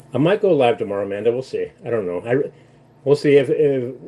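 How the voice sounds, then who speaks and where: Very fast talk from a man with a fairly high pitch and lively intonation, over noticeable background noise. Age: 60s. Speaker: livestreamer. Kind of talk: casual livestream chat. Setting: live stream, outdoors then walking back into house.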